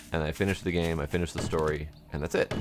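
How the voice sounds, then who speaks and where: Talking at a very fast pace, a man with a very deep, low pitch keeps a monotone, flat intonation over noticeable background noise. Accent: American. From United States. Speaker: gaming streamer. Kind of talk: casual chat.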